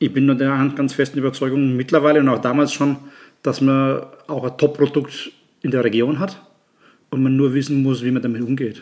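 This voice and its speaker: Talking at a fairly quick pace, a man with a medium pitch keeps a monotone, flat intonation and leaves long, frequent pauses. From Germany, Nuremberg (Franconia). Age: 50s. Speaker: chef and restaurant owner. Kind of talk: casual chat.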